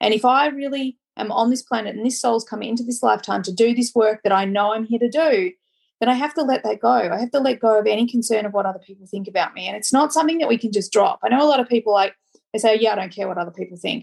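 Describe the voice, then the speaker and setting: Very fast, animated speech from a woman with an Australian accent, fairly high in pitch, with ordinary pitch variation and a quiet background. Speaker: podcast host and life coach. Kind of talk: casual chat. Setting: recording on location in a small French town.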